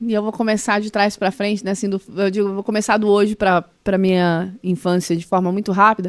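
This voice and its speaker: A woman rattles along at a fairly quick pace with hardly any pauses, her medium pitch held in monotone, flat intonation. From Brazil, Mato Grosso do Sul. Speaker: former public official, entrepreneurship. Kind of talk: podcast interview. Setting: podcast studio.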